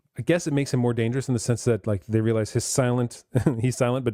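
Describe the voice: The intonation stays fairly even as the speaker reads aloud plainly.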